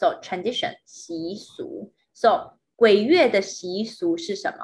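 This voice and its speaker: The voice moves through very wide pitch swings. It sounds somewhat breathy. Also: woman. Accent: Mandarin. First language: Mandarin. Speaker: podcast host and language teacher. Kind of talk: casual chat; language lesson.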